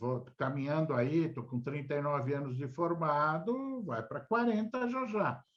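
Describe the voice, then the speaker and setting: A man speaks at a fairly slow pace in a fairly high, somewhat breathy voice. His pitch swings very widely. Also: hardly any pauses. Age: 60s. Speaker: lawyer. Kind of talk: interview.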